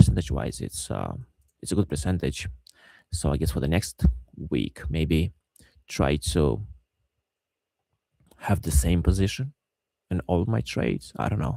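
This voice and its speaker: A man speaks at a moderate pace with a very deep, low pitch, vocal fry, and a dark, mellow tone. His intonation is lively, broken by long, frequent pauses. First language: not English. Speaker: day trader. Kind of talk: trading recap tutorial. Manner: halting, many fillers and repeats.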